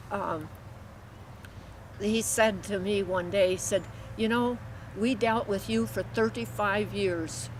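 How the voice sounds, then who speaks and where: A woman's medium-pitched voice with vocal fry, very wide pitch swings, a very slow pace and long, frequent pauses. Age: 80s+. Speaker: farmer. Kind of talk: interview answer. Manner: hesitant, many filler sounds.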